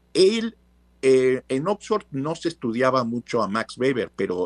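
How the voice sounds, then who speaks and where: Recorded very cleanly against a silent background with a dry, close sound and no echo, a man speaks at a medium pitch and fairly slow pace, his pitch swinging very widely. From Mexico, Veracruz. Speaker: professor. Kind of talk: interview.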